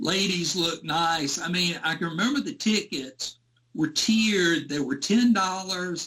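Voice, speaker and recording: A man's high-pitched voice in a Southern US accent, with lively intonation at a very slow pace. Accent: Southern US (Georgia). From US South, rural Georgia. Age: 60s. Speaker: Elvis fan recalling concerts. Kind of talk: interview storytelling.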